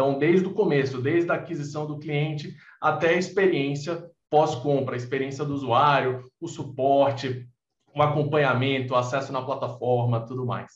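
The voice is somewhat breathy, with fairly even intonation and audible room echo. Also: man, fairly high pitch for a man, moderate pace. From Recife, Brazil. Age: 20s. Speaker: podcast co-host, tech entrepreneur. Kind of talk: interview.

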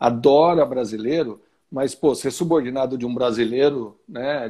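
Against a quiet background, a man speaks at a moderate pace. His tone is dark and mellow, with ordinary pitch variation. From Brazil, Santo André (São Paulo ABC region). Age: 50s. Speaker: business executive. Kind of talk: interview. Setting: video call livestream.

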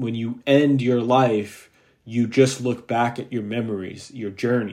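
A man's medium-pitched voice holds a fairly even intonation and a fairly slow pace. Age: 20s. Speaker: podcast host. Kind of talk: solo monologue. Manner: hesitant, many fillers.

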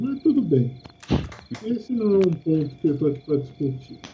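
Noticeable background noise sits under speech at a moderate pace with very wide pitch swings. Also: man. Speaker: tabletop RPG player. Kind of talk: tabletop RPG play. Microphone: quiet, using distant webcam mic.

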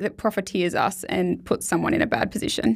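Vocal fry marks a woman's very fast delivery on a very clean recording with a silent background. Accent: Australian. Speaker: podcast host, finance broker. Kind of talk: casual podcast discussion; scripted intro. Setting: studio.

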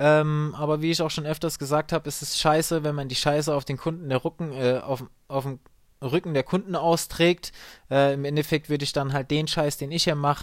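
The delivery moves at a moderate pace with fairly even intonation, captured in a very clean recording against a silent background. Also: man. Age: 30s. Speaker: call center agent and podcaster. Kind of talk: solo podcast monologue. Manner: hesitant, many fillers.

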